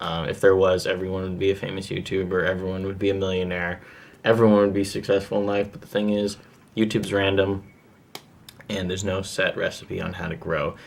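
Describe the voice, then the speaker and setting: A man's fairly low voice at a fairly quick pace, monotone and flat in intonation. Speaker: YouTuber giving channel-growth tips. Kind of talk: tutorial. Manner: casual with many fillers.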